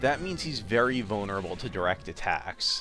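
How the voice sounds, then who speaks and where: With lively intonation, a man talks while music sounds in the background. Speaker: let's play commentator. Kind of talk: game commentary.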